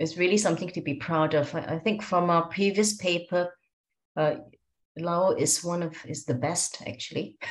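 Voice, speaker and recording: Somewhat breathy woman, fairly low in pitch, at a moderate pace. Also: ordinary pitch variation. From Malaysia. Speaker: professor of paediatric diabetes, meeting chair. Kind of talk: meeting moderation. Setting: video call.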